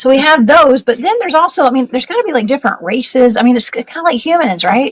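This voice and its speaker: A woman talks in a high voice with a Southern US accent. The sound is dry and close, with no echo. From US South, Georgia. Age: 40s. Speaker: paranormal investigator. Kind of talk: casual interview.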